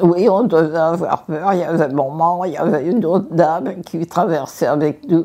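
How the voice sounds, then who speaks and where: Against noticeable background noise, a woman speaks at a fairly slow pace with a fairly low pitch. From Paris, France. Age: 80s+. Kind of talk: interview answer.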